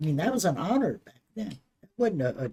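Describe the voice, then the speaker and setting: In an American accent, a woman with a dark, mellow, somewhat breathy tone talks at a moderate pace with very wide pitch swings. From Maryland, US. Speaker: grandmother interviewed by grandchild. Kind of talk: casual family interview. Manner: halting.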